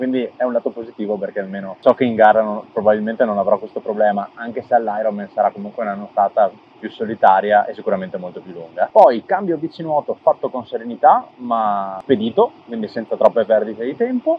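Over light background noise, a man talks at a very fast pace with ordinary pitch variation and big swings in loudness, the sound dry with no echo. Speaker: amateur triathlete vlogger. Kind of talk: casual vlog chat. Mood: reflective, pleased. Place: forest. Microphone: lapel.

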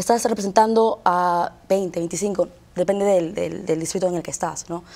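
A woman's dark, mellow voice sits at a medium pitch, moving at a moderate pace with ordinary variation in pitch. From US East Coast, raised partly in Peru. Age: 20s. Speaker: lawyer and political candidate. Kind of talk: TV interview. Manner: halting. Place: studio. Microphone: lapel.

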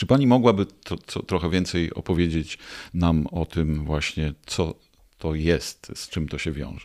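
Against a quiet background, a man speaks at a fairly slow pace. His pitch is very deep and low, with ordinary variation. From Poland, Greater Poland; Poland. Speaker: podcast host. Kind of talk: interview. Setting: studio. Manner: formal. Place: studio. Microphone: studio mic.

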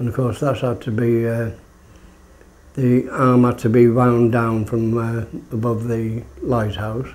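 A man speaks at a medium pitch and a fairly slow pace. His intonation stays monotone and flat. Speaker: retired lighthouse keeper. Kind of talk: oral history interview. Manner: halting. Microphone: phone near.

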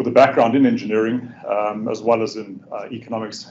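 A man speaking over light background noise. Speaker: presenter. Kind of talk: lecture. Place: classroom.

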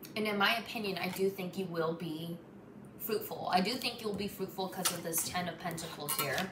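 With noticeable background noise, a woman speaks at a medium pitch with ordinary pitch variation. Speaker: tarot reader. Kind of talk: tarot reading monologue. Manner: halting, stumbling over words. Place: home room. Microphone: phone near.

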